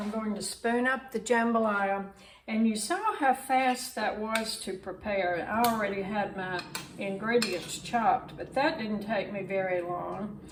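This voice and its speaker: A woman with a Southern US accent speaks at a fairly high pitch and a fairly slow pace, with ordinary pitch variation. Audible room echo and noticeable background noise are present. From US South, Mississippi. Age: 80s+. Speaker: cooking video creator. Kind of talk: cooking tutorial. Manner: casual, conversational.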